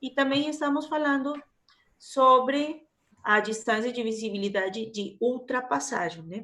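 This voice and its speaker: Her bright, sharp tone sits at a high pitch, with ordinary pitch variation. This woman speaks at a fairly slow pace. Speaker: university lecturer. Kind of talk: online lecture.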